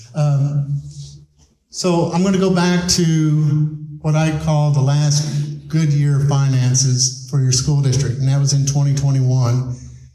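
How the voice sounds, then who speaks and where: The voice comes in a Texan accent at a fairly slow pace, with fairly even intonation and very even loudness. Noticeable background noise and audible room echo fill the recording. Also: man. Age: 60s. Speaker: school superintendent. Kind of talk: public presentation. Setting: town hall meeting with audience. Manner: blunt, plain-spoken.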